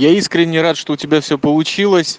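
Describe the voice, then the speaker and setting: Dry and close with no echo, a man's recording captures an ordinary speaking voice at a moderate pace with ordinary pitch variation. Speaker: podcaster. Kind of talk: voice message monologue. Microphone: smartphone.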